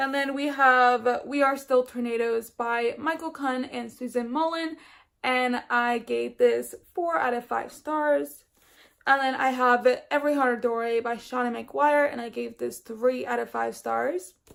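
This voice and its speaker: A woman speaks at a high pitch with fairly even intonation. The recording is very clean, with a silent background. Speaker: book vlogger. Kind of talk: casual book review vlog. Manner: stumbling over words.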